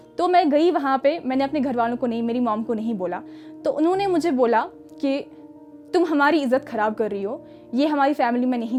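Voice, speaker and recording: A woman at a moderate pace, her intonation lively, with music in the background. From Kashmir. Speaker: actress. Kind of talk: motivational talk.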